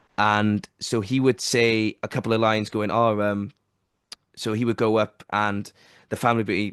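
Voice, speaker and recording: A man speaks with a Welsh accent in a fairly low pitch. The sound is dry and close with no echo, over a quiet background. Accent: Welsh, sometimes hits T's hard. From South Wales. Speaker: podcast host. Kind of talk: casual chat. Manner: animated.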